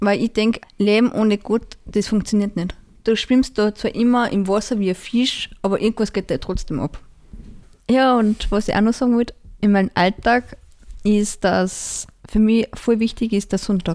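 It is a plain, everyday voice, a woman's, pitched fairly high with fairly even intonation. She holds a moderate pace and very even loudness. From Austria, Salzburg region (Pongau). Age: 20s. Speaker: parish council member and gardener. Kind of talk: interview.

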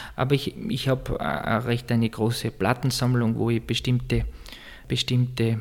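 Somewhat breathy and at a medium pitch, a man speaks at a moderate pace with monotone, flat intonation. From Austria, East Tyrol. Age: 30s. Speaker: church music director. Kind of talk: interview. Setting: office in a monastery.

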